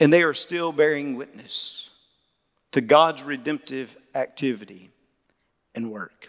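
A man with a Southern US accent, fairly high in pitch with ordinary pitch variation, fairly slow, with big swings in loudness and long, frequent pauses. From Mississippi. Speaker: Baptist pastor, convention president. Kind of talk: sermon.

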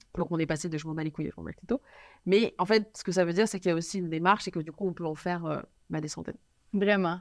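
A woman's fairly low voice at a very fast pace, with fairly even intonation, on a very clean recording with a silent background. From Paris, France. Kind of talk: interview chat. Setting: studio.

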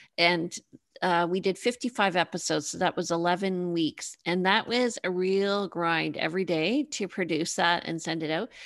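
In a plain, everyday voice, a woman with a Canadian accent speaks fairly slowly at a medium pitch with ordinary pitch variation against a quiet background. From Canada, Toronto. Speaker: realtor and TV host. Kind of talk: interview podcast.

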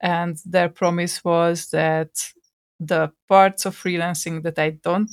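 A very slow delivery in a Hungarian accent, on a very clean recording with a silent background. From Hungary. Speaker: podcast co-host and software developer. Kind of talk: casual chat. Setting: recording from home.

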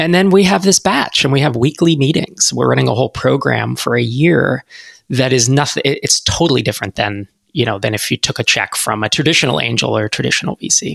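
A medium-pitched man with an American accent, vocal fry and lively intonation, at a fairly quick pace, in a dry, close sound with no echo. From US West Coast (San Francisco Bay Area). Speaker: startup investor and accelerator founder. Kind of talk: podcast interview.

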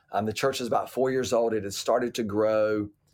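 In a very clean recording with a silent background, a man with an American accent talks at a moderate pace at medium pitch in a plain, everyday voice. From US South, Atlanta, Georgia. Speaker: pastor. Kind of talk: casual interview.

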